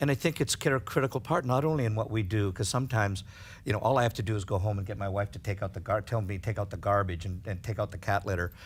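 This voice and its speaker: A man talks very fast in a fairly low, somewhat breathy voice with ordinary pitch variation. The recording is very clean, with a silent background. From Canada. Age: 60s. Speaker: hairdresser and hair educator. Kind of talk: casual interview. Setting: studio with audience. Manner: halting, many false starts.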